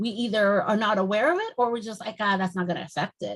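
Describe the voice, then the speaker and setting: A woman's somewhat breathy voice at a medium pitch, with ordinary pitch variation and a fairly quick pace. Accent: Spanish. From Mexico (Mexico City). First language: Spanish. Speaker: naturalist trainer. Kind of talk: lecture. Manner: fast when excited.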